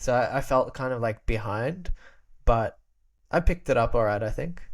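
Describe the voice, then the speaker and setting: A man with an Australian accent speaks at medium pitch and a moderate pace, with ordinary pitch variation, on a very clean recording with a silent background. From Australia, Albanian immigrant family. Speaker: podcast guest, creator. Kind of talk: casual chat. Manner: halting, many repetitions.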